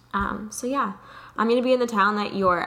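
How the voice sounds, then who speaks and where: Noticeable background noise sits behind the speech. The woman's pitch variation is ordinary. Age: 20s. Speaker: podcast co-host and aspiring actress. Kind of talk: casual chat. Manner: animated.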